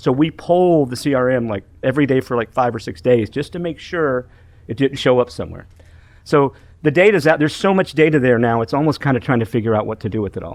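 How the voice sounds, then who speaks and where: Very fast speech with lively intonation. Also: man, medium pitch for a man. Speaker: pest industry software vendor. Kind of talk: podcast interview. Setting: industry conference. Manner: animated.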